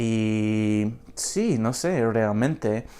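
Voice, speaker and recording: The recording is very clean, and the background is silent. A man uses a medium pitch and ordinary pitch variation. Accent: strong non-native. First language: English (speaking Spanish). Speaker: language learner vlogger. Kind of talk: unscripted casual vlog. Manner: halting, many fillers and repetitions.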